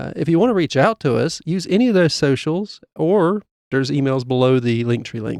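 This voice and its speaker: A man with a fairly high pitch and lively intonation talks at a fairly quick pace in an unremarkable speaking voice, with a dry, close sound and no echo. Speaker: podcast co-host. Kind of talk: podcast outro announcements. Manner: casual, many filler uhs.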